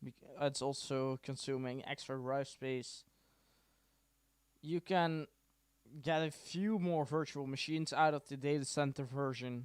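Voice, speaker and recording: On a very clean recording with a silent background, a man with a Dutch accent speaks at a fairly high pitch and a fairly slow pace, with long, frequent pauses and fairly even intonation. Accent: Dutch accent, quite noticeable. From Netherlands. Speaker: tech tutorial streamer. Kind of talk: tutorial. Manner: casual, hesitant with many fillers.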